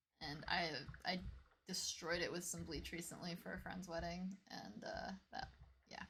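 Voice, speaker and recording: A soft-spoken woman, her speech broken by long, frequent pauses. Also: moderate pace. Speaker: video game streamer. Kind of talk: live game stream chat.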